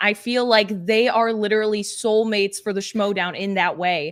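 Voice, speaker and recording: On a very clean recording with a silent background, a woman speaks in an energetic tone at a medium pitch. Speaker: panelist. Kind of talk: casual chat. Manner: fast.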